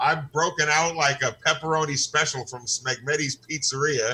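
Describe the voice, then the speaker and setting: A man with a bright, sharp tone, fairly high pitch, fairly even intonation and a fairly quick pace. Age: 60s. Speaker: comedian. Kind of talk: casual chat. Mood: joking, laughing. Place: home room. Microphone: video call.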